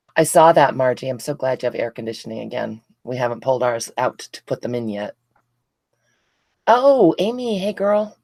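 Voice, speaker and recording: Recorded with a dry, close sound and no echo, a woman speaks at a moderate pace with long, frequent pauses and big swings in loudness. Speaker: craft livestream host. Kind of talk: casual livestream chat. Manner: sluggish.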